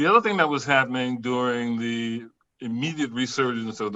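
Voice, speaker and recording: Speaking at a fairly quick pace, a man with an American accent has medium pitch, fairly even intonation and a plain, everyday voice. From US South. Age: 60s. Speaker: professor. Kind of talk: panel discussion.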